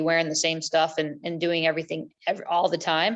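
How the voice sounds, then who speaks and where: The background stays quiet. A woman's speech moves along fairly quickly. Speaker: adventure racer. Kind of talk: casual chat. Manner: fast.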